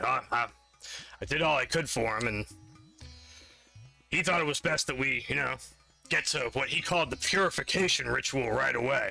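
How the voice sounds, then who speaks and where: Over faint background music, a man uses a raspy, put-on character voice at a medium pitch and moderate pace, with long, frequent pauses. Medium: actual play. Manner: rambling, hesitant.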